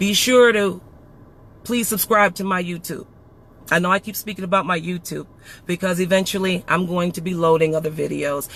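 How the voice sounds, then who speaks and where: Loud and fairly quick, a man talks with a high pitch and ordinary pitch variation. His tone is bright, sharp and animated. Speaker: podcast host. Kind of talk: emotional monologue. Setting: live stream.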